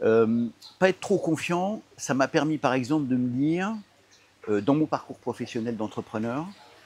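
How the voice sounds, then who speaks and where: Speaking at a fairly slow pace, a man with a medium pitch uses lively intonation. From Paris suburbs, Seine-Saint-Denis, France. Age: 60s. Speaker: entrepreneur. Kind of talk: interview. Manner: hesitant, many fillers and repetitions.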